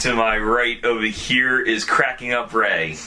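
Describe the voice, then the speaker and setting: A man's medium-pitched, very slow speech amid noticeable background noise. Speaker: podcast host. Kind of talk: casual chat. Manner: stuttering.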